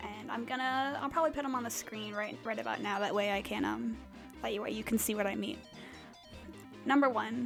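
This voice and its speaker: With music in the background, a woman speaks at a moderate pace in a fairly high pitch with ordinary pitch variation. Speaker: digital artist. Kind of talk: casual rambling voiceover over a speedpaint. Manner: hesitant, many filler words.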